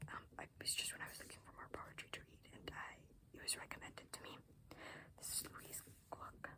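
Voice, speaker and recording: Someone is whispering at a fairly quick pace, with long, frequent pauses. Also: woman. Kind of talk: ASMR whispered ramble to camera about books. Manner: whispered; casual, rambling, with filler words.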